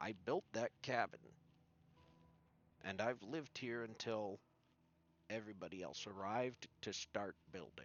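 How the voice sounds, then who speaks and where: A man's raspy, put-on character voice at a medium pitch and moderate pace, with long, frequent pauses. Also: ordinary pitch variation. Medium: actual play. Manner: polite, somewhat hesitant.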